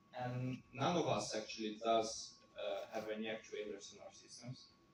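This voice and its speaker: The speaker talks at a moderate pace with big swings in loudness. Audible room echo surrounds the voice. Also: man. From Russia. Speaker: researcher presenting a paper. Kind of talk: conference Q&A. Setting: conference room with audience.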